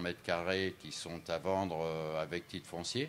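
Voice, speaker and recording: The recording is very clean, with a silent background. A man talks at a fairly slow pace with fairly even intonation. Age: 70s. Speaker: businessman. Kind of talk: interview. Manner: hesitant, many fillers.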